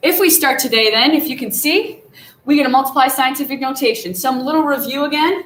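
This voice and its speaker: A woman with a high pitch speaks at a fairly quick pace with lively intonation. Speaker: math teacher. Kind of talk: tutorial. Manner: fast.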